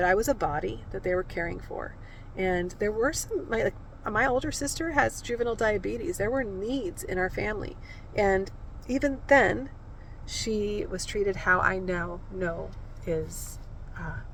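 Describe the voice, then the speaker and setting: A soft-spoken voice with an American accent moves at a moderate pace. The intonation is lively, and there is audible room echo. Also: woman. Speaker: video creator sharing her life story. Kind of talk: personal storytelling. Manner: halting, with fillers.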